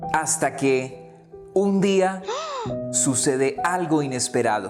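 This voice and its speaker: The voice moves at a very slow pace with lively intonation while music plays in the background. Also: man, fairly high pitch for a man. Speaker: radio host. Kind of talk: children's story reading.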